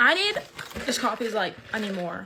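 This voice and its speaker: Noticeable background noise behind a woman at a fairly high pitch, with ordinary pitch variation and a fairly quick pace. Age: 20s. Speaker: content creator. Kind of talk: casual chat. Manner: rambling, halting.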